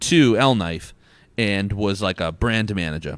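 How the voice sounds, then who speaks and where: Mumbling in a fairly low pitch with ordinary pitch variation, a man is heard on a very clean recording with a silent background. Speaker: brewery executive. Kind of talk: casual chat. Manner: mumbles, sounds fast; pauses while thinking.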